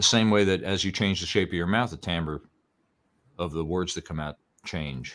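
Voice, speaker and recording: In a Bronx accent, a man talks at a moderate pace with a very deep, low pitch. The recording is very clean, with a silent background. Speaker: old-time fiddle and banjo musician and teacher. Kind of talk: casual interview chat. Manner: halting, with repetitions.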